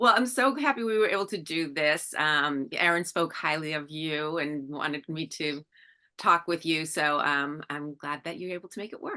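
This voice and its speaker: A woman with an American accent, very deep and low in pitch yet bright and sharp in tone, at a moderate pace with ordinary pitch variation and big swings in loudness, over a quiet background. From Massachusetts, US. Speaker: interviewer, podcast host. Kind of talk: interview.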